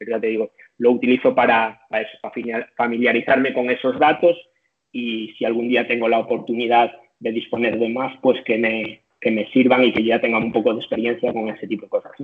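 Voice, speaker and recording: In a monotone, flat delivery, a man speaks at a medium pitch. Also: fairly quick pace. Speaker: strength and conditioning coach. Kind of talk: interview. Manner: halting.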